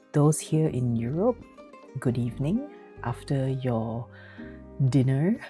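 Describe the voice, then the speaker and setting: Amid background music, a woman with a Malaysian accent speaks at a very slow pace in a very deep, low pitch, with long, frequent pauses. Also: ordinary pitch variation. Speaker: physician and streamer. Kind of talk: casual live stream talk.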